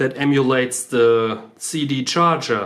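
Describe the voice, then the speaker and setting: Speaking with a non-native accent, a man holds a medium pitch and fairly even intonation. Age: 30s. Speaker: car DIY video maker. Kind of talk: tutorial. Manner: halting, many fillers.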